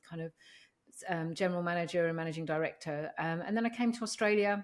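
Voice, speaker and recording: Speaking at a fairly low pitch, a woman talks in an English accent. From London, England. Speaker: organisational psychologist. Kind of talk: interview.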